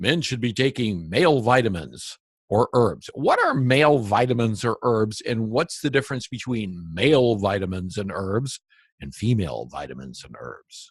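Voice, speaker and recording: A man with a somewhat breathy voice talks at medium pitch and a moderate pace against a quiet background. His intonation is lively and his loudness swings widely. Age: 60s. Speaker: interviewer on alternative health. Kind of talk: interview.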